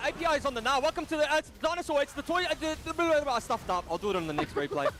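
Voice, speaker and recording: Talking at a very fast pace with hardly any pauses, a man with an extremely high pitch and lively intonation is heard over noticeable background noise. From Australia, Western Suburbs. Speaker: play-by-play esports caster. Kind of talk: live esports commentary.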